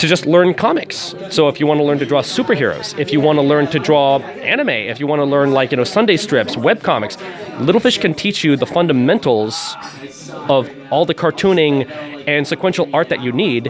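The speaker talks at a fairly quick pace with lively intonation. Music plays in the background. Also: man. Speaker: comic studio representative. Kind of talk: interview answer. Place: shop. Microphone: handheld.

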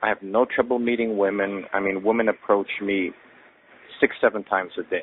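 In an unremarkable speaking voice, a man talks fairly quickly at a fairly low pitch, and the sound is dry with no echo. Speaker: caller. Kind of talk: voicemail message. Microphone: phone line.

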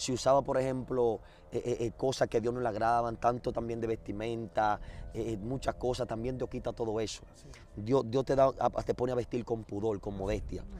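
A man speaks in a medium pitch at a moderate pace. His tone is dark and mellow, his intonation monotone and flat. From Dominican Republic, Azua. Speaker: former gang leader turned street preacher. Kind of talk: testimony.

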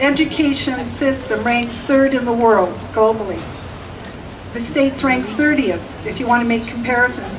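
A woman with a Canadian accent talks at a moderate pace in a high pitch with ordinary pitch variation. Noticeable background noise can be heard. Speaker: kindergarten teacher. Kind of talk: rally speech. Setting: outdoor rally with audience. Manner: hesitant start, storytelling.

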